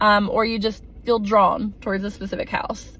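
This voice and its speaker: At a moderate pace, a woman talks in a somewhat breathy voice with an American accent. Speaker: teacher on a mission trip. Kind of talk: casual video recap. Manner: conversational with many fillers.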